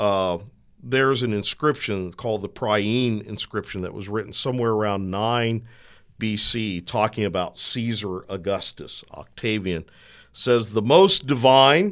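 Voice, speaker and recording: Speaking at a fairly slow pace in a plain, everyday voice, a man at medium pitch is heard on a very clean recording with a silent background. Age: 60s. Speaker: Bible professor. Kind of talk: theological discussion.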